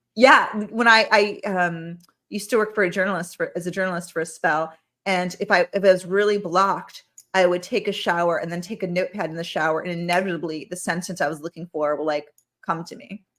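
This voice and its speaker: Talking at a very fast pace, a woman keeps a fairly even intonation while her loudness swings widely. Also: medium pitch for a woman. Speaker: podcast host. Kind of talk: casual chat. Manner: measured cadence.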